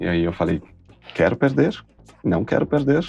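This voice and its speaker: Music runs in the background while the man talks fairly quickly. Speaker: actor and TV presenter. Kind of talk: interview. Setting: studio. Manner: animated.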